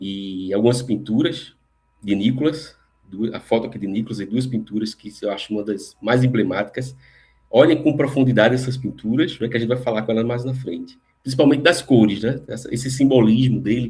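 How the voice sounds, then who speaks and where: A man's medium-pitched, somewhat breathy voice with a dark, mellow tone, ordinary pitch variation and a fairly quick pace. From Recife, northeast Brazil. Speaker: lecturer on spirituality. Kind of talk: lecture. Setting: live online stream.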